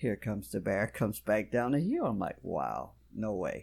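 The recording is very clean and the background silent. His pitch swings very widely as a man talks at a moderate pace. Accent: Louisiana. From South Louisiana. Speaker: bowhunter. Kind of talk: casual interview chat. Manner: polite, uses Mr. and Ma'am.

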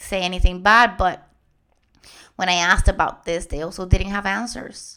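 A woman's medium-pitched, bright, sharp voice in a Spanish accent, on a very clean recording with a silent background. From Puerto Rico. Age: 30s. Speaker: guest host, lymphedema patient and podcaster. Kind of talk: personal testimony.

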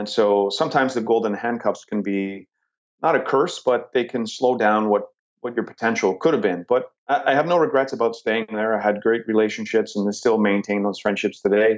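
A plain, everyday voice with a Canadian accent moves at a fairly quick pace with ordinary pitch variation. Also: man, medium pitch for a man. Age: 40s. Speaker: real estate investor. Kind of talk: interview.

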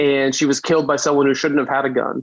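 Someone speaks with a New York accent. The sound is dry and close, with no echo. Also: man. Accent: New York American. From US, Brooklyn, New York. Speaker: gun safety lawyer and advocate. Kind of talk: interview.

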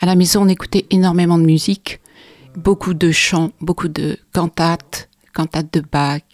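Her fairly low voice holds a monotone, flat intonation at a fairly slow pace. The woman's recording has a dry, close sound with no echo. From France, from age 7 (born in Belgium). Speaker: concert pianist and piano teacher. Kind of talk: casual chat.

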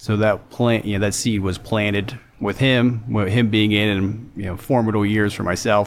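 This man has an unremarkable speaking voice, fairly low in pitch, with fairly even intonation and a moderate pace. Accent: American. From western Pennsylvania, near Pittsburgh. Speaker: war veteran. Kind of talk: casual interview conversation.

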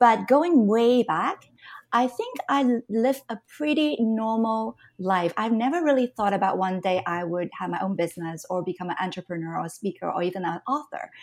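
Lively intonation from a woman at a moderate pace. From Canada. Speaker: entrepreneur and business mentor. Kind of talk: interview conversation.

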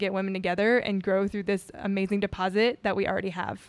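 Very fast and with monotone, flat intonation, a woman with an American accent talks at a medium pitch. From US South, Houma, Louisiana (Cajun). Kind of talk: casual interview chat.

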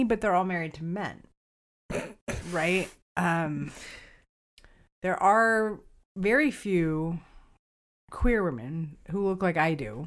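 Fairly low pitch from a woman, on a very clean recording against a silent background. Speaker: podcast co-host and writer. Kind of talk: casual chat.

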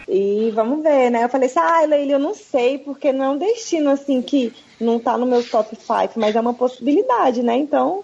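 At a moderate pace and with hardly any pauses, a woman speaks in a high pitch with lively intonation and very even loudness. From Brazil, Brasília. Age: 30s. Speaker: physiotherapist and traveler. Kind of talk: casual chat.

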